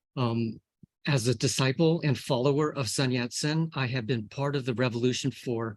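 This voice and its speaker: A man with an American accent speaks at a medium pitch with fairly even intonation, an ordinary speaking voice. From US. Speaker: scientist. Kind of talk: lecture. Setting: video call.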